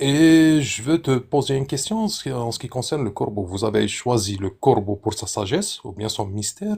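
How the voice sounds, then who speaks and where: With a non-native accent, a man speaks in a somewhat breathy voice with very wide pitch swings and hardly any pauses on a very clean recording with a silent background. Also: medium pitch for a man, moderate pace. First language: not French (speaking French). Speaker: participant in live debate stream. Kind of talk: casual debate. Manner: halting.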